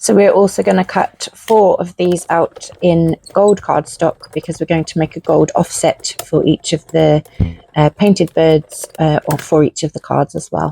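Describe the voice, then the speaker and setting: A woman with a British accent speaks at a fairly slow pace. The sound is dry and close, with no echo. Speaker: craft channel host. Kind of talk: tutorial.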